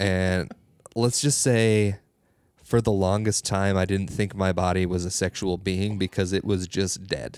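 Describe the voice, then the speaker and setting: On a very clean recording with a silent background, a man with a very deep, low pitch talks at a fairly slow pace, his loudness very even and intonation fairly even. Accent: Upper Midwest. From northern Minnesota. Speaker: comedian. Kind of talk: casual chat.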